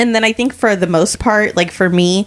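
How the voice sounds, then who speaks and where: This is an ordinary speaking voice, with ordinary pitch variation. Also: woman. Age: 40s. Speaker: podcast co-host. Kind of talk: casual chat.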